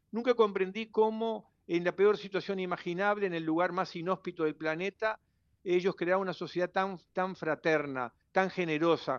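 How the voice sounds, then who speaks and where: A man with a Uruguayan accent speaks at a high pitch and a moderate pace, with ordinary pitch variation. The sound is dry and close with no echo, over a quiet background. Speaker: writer and journalist. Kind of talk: radio interview. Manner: halting, with many repetitions. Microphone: interference on the line.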